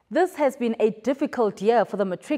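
Very wide pitch swings from a female speaker, set against a quiet background. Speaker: television news presenter. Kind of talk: formal news bulletin reading, scripted. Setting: studio. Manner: formal, measured, even-paced newsreader delivery; clear, polished, neutral tone with scripted headlines.

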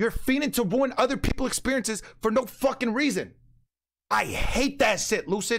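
In a furious tone, a man speaks at an extremely high pitch with ordinary pitch variation. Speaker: GTA roleplay streamer. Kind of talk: heated angry rant. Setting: online gaming stream, roleplay server. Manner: loud, furious, repetitive, shouting emphatic insistence; rapid-fire, indignant, self-justifying with constant 'bro'.

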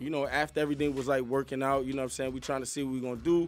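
A man talking at a very fast pace over faint background music. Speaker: guest. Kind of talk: interview answer. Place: studio. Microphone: studio mic.

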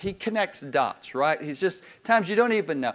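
Speaking in a Southern US accent, a man lets his pitch swing very widely. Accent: Southern US (Georgia). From US South, Georgia (Decatur, Loganville). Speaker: pastor. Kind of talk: sermon. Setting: church. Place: church.

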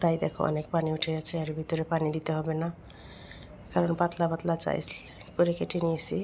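A woman with a very deep, low pitch speaks in a monotone, flat intonation over noticeable background noise. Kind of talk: cooking tutorial.

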